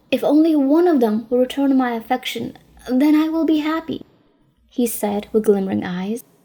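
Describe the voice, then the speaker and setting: A woman with a high pitch speaks in a dark, mellow tone. Her pace is moderate, with ordinary pitch variation. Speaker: audiobook narrator. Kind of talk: read story.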